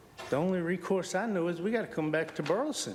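There is audible room echo as a man speaks with a high pitch. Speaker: public commenter at city council. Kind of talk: public comment. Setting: city council meeting.

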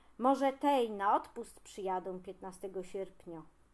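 A woman speaks at a moderate pace with a Greater Poland accent. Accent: Greater Poland regional dialect. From Pniewy area, Greater Poland. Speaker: regional dialect enthusiast. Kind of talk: humorous casual monologue to camera.

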